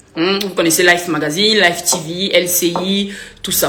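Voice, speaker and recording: A woman speaks in an animated tone with ordinary pitch variation, audible room echo and noticeable background noise. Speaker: influencer and author. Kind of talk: live stream Q&A with viewers. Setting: live video stream.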